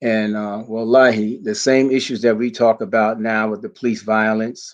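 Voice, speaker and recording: Against a quiet background, a man speaks at a fairly low pitch and moderate pace in a monotone, flat way. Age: 60s. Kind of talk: conference speech. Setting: community center event, also streamed online.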